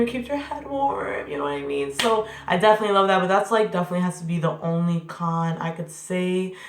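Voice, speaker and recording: Audible room echo surrounds this recording. A woman talks fairly quickly. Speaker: hair vlogger. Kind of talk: tutorial. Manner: fast; animated.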